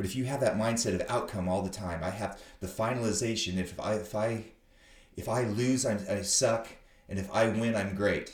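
A somewhat breathy man at a fairly low pitch, with fairly even intonation, a moderate pace and audible room echo. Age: 50s. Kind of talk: casual interview chat. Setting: visiting host's academy.

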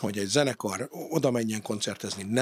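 A man's voice, pitched in the middle range, its intonation fairly even. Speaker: podcast host. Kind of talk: casual interview.

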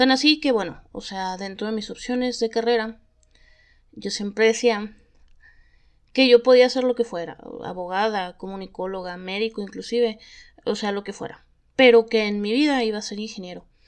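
Her voice fairly high with ordinary pitch variation, a woman talks at a moderate pace with long, frequent pauses and big swings in loudness. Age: 30s. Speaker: podcast host. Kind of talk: casual storytelling monologue.

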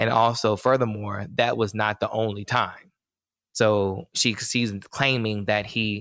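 With an American accent, a man speaks at a fairly slow pace and a fairly low pitch. His intonation is monotone and flat, and the recording is very clean with a silent background. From North Carolina, US South. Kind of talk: casual chat.

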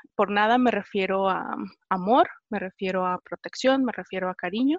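The speech comes at a fairly quick pace with ordinary pitch variation, in a dry, close sound with no echo and a quiet background. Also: woman. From Mexico, rural Jalisco. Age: 20s. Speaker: interviewee sharing coming-out story. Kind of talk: personal testimony in interview. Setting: video call.

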